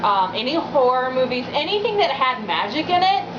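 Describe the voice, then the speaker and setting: Loud and high-pitched, a woman speaks at a moderate pace, with noticeable background noise and audible room echo. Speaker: witchcraft video blogger. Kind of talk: personal vlog monologue. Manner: hesitant, many fillers.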